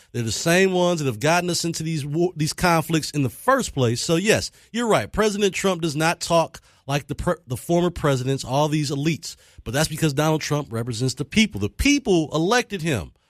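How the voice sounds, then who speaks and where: A man's fairly high, animated voice with lively intonation, fairly quick pace, and a dry, close sound free of echo. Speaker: radio talk show host. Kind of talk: call-in talk radio debate.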